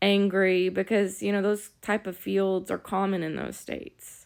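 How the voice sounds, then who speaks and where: On a very clean recording with a silent background, a woman with a Southern US accent speaks at a moderate pace and a medium pitch. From US South. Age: 30s. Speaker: vlogger, former aspiring model. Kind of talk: casual vlog monologue. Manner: casual, conversational.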